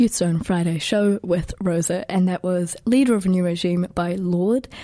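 With a New Zealand accent, a woman speaks in a medium pitch with a dark, mellow tone. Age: 20s. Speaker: student radio host. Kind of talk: casual radio music show. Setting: radio studio. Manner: animated.

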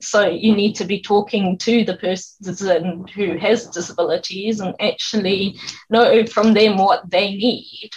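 With hardly any pauses, a woman speaks fairly slowly in a flat monotone, her medium-pitched voice somewhat breathy. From South Africa. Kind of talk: radio interview.

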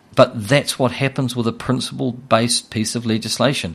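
Someone talks at a moderate pace with a New Zealand accent. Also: man. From New Zealand, Hawke's Bay. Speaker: financial firm CEO. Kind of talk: casual interview about finance. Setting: radio studio.

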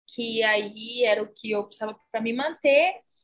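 Fairly slow delivery from a woman with a fairly high voice and ordinary pitch variation. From Brazil, São Paulo city. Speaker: Brazilian immigrant. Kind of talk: interview.

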